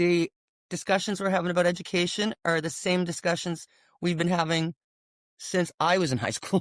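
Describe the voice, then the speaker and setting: In a very clean recording with a silent background and a dry, close sound with no echo, a woman with a plain, everyday voice speaks at a moderate pace, her fairly low pitch held in fairly even intonation. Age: 60s. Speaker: former nurse and business owner. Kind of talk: casual chat.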